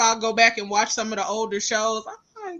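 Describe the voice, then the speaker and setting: The pace of the speech is fairly quick. It is delivered in a Southern US accent. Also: woman. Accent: Southern, country. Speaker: podcast host. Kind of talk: casual chat.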